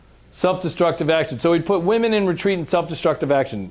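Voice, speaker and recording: A man speaks loudly. His tone is animated. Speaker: trauma and recovery trainer. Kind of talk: lecture.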